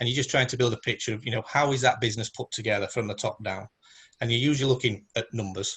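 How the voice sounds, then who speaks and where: A man talks at a very fast pace with a northern English accent. His medium pitch keeps a fairly even intonation. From northern England. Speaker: independent automation consultant. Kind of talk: presentation in virtual round table. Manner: monotone; hesitant with many fillers.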